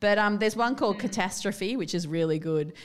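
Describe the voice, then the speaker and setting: The speaker has an Australian accent, heard in a very clean recording with a silent background. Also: woman. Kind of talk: casual chat.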